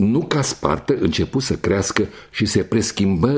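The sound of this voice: What you hear is an unforced reading voice.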